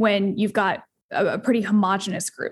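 A woman with an American accent speaks in a flat monotone at a moderate pace, her fairly high voice somewhat breathy. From Asheville, North Carolina, US. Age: 20s. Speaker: CEO advisor and business consultant. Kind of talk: casual interview conversation.

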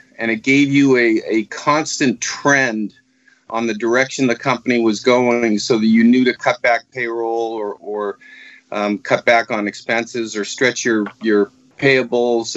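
A man with a normal speaking voice at medium pitch, in an American accent, fairly slow in pace and fairly even in intonation. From Massachusetts, Marblehead (Boston area). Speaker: business consultant, former nursery owner. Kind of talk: interview.

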